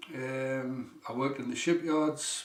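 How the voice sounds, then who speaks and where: A man speaks with a strong Geordie accent over noticeable background noise. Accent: northeast English (Geordie), strong. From northeast England, South Shields. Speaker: healing teacher, former electrician. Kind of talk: seminar talk.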